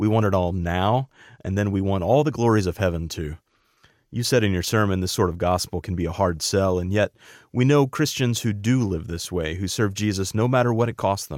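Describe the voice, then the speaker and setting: This very clean recording has a silent background and a man talking at a fairly quick pace. He has an ordinary speaking voice, fairly low in pitch, with ordinary pitch variation. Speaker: radio host. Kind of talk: interview introduction.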